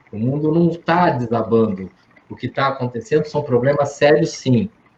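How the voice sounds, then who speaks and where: A plain, everyday voice from a man, pitched fairly high and varying in pitch in an ordinary way. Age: 60s. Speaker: psychologist. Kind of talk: Q&A talk with students.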